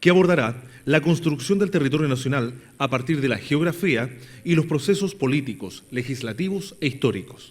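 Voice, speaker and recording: Somewhat breathy and fairly high in pitch, a man speaks at a moderate pace. His intonation is lively. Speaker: professional announcer, master of ceremonies. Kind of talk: master of ceremonies event presentation.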